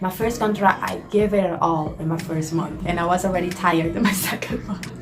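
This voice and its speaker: Music plays in the background and room echo is audible. A woman speaks at medium pitch and a moderate pace with ordinary pitch variation. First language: not English. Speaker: cruise ship worker and vlogger. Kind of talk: casual Q&A vlog. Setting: small house at home. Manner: hesitant with many fillers.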